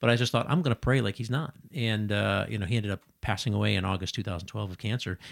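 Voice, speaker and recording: Talking at a very fast pace with an American accent, a man uses a fairly low pitch, vocal fry and ordinary pitch variation, in a very clean recording with a silent background. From Chicago. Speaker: ministry director, retired Marine officer. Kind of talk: casual interview. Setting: studio.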